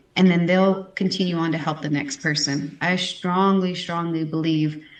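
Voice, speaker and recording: Using an ordinary speaking voice with an American accent, a woman with a fairly low pitch speaks at a moderate pace with ordinary pitch variation. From Texas. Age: 30s. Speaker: pageant titleholder and houseparent. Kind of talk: interview.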